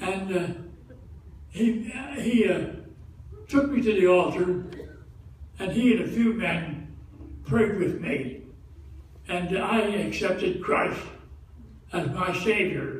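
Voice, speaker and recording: A man with a high voice talks at a very slow pace, leaving long, frequent pauses, with noticeable background noise behind him. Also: ordinary pitch variation. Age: 80s+. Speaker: Salvation Army officer. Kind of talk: spoken testimony to congregation. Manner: hesitant.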